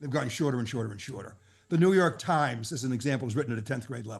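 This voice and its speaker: A man talks in a somewhat breathy voice with ordinary pitch variation. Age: 70s. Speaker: financial advisor coach. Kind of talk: podcast interview.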